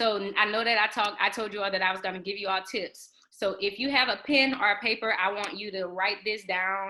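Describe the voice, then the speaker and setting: A woman's normal speaking voice at medium pitch, fairly quick in pace, with fairly even intonation. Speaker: exam prep tutor. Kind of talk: online study group teaching.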